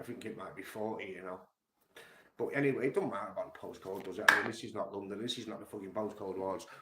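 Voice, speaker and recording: Very fast speech comes from a man with a fairly low pitch. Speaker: music commentary streamer. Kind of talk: casual monologue. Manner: animated.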